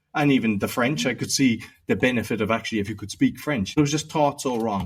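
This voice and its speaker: Speaking in a Cork accent, a man talks at a fairly quick pace. His pitch varies in an ordinary way. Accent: Cork Irish. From Ireland, Cork. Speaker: podcaster and entrepreneur. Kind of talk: interview conversation. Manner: casual, many fillers.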